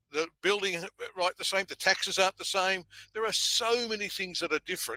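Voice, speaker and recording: Very fast and with an Australian accent, a man speaks in a high voice with a bright, sharp tone. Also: dry, close sound with no echo. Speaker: event industry consultant. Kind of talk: conversational podcast discussion.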